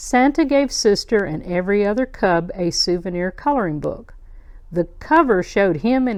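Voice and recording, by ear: Someone reads aloud in a natural voice. Their intonation stays lively throughout.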